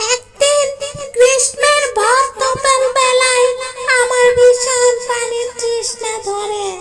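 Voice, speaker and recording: A cartoonish character voice, female-sounding and extremely high in pitch, cackles at a very slow pace in a monotone, flat intonation while faint music plays in the background. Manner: cackling, menacing.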